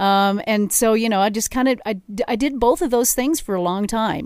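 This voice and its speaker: In a General American accent, a woman with an unremarkable speaking voice talks at a moderate pace with ordinary pitch variation, on a very clean recording with a silent background. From Colorado, Denver area (Arvada). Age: 50s. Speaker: drummer and singer. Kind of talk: casual interview. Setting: studio.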